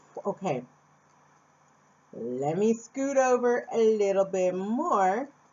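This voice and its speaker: Speaking at a very slow pace, a woman uses a fairly high pitch with very wide pitch swings. She talks with an American accent. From Phoenix, Arizona, USA. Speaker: vlogger. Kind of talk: casual talk to camera.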